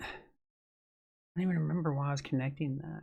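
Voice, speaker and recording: Fairly high in pitch, a man speaks at a fairly quick pace, somewhat breathy. His intonation stays fairly even. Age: 40s. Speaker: vlogger. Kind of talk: casual monologue. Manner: rambling, hesitant with fillers.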